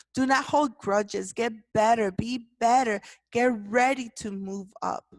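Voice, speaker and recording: Speaking at a fairly slow pace against a quiet background, a woman with a non-native accent uses a fairly high pitch. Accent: foreign accent in English. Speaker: podcast host, leadership movement founder. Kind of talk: motivational talk.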